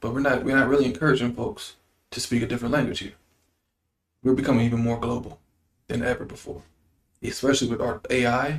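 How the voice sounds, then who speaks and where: Speaking at a very fast pace at medium pitch, a man leaves long, frequent pauses. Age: 40s. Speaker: state politician. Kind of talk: interview. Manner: animated.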